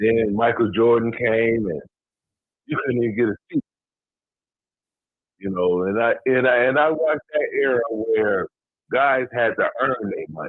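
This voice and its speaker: The man's voice sits at a medium pitch with ordinary pitch variation. He talks at a fairly slow pace, leaving long, frequent pauses. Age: 60s. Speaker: caller. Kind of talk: casual sports talk.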